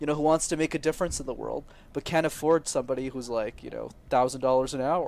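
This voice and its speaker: This man has a normal speaking voice, pitched fairly high, and moves at a fairly quick pace. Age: 20s. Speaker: public speaking coach. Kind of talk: podcast interview.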